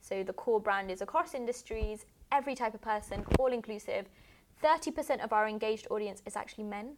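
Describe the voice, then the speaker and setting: The speech comes at a fairly quick pace in a British accent with ordinary pitch variation. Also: woman, fairly high pitch for a woman. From England. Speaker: tech network founder. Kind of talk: casual interview. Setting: studio.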